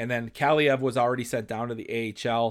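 In a very clean recording with a silent background, a man with an American accent speaks very fast in a medium pitch and monotone, flat intonation. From Chicago, US Midwest. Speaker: hockey podcast host. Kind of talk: solo sports analysis podcast. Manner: conversational with frequent fillers.

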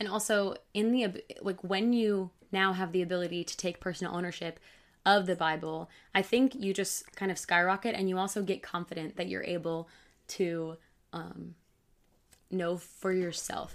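A woman with an unremarkable speaking voice and an American accent, medium pitch, fairly even intonation and a moderate pace, on a very clean recording with a silent background. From Michigan. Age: 20s. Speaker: bible teacher. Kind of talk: casual chat.

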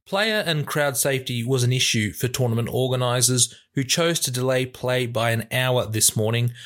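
A man with an Australian accent talks at a medium pitch and moderate pace, with hardly any pauses and ordinary pitch variation. His loudness stays very even, and the recording is very clean, with a silent background. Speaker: sports news podcast host. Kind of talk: scripted news reading.

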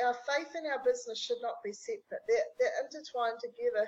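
A woman with a New Zealand accent and ordinary pitch variation. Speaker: business strategist. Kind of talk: interview conversation.

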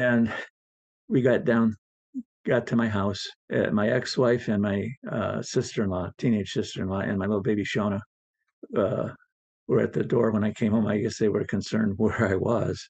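A man speaks at a fairly low pitch and a moderate pace in a monotone, flat intonation. His pauses are long and frequent. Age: 70s. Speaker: JFK assassination researcher. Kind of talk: interview storytelling. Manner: halting, frequent fillers.

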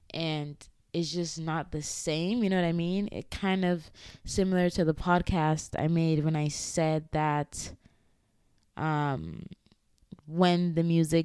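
A woman speaks very slowly in a fairly low, dark and mellow voice with flat, monotone intonation. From Ghana. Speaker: podcast host. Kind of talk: solo personal monologue. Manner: casual, frequent laughter.

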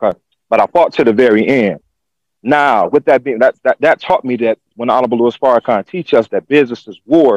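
An unremarkable speaking voice, a man's at medium pitch, moves at a fairly quick pace in a dry, close sound with no echo. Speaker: school founder. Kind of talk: testimony. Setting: video call.

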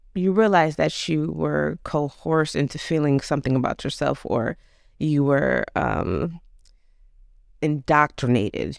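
A woman at a fairly slow pace, with very even loudness. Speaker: host's older sister, interviewer. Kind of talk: casual interview conversation.

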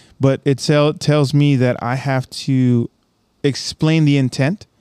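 A man's medium-pitched voice with a dark, mellow tone, dry and close with no echo, on a very clean recording against a silent background. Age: 30s. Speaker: Marine podcast host. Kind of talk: casual interview chat.

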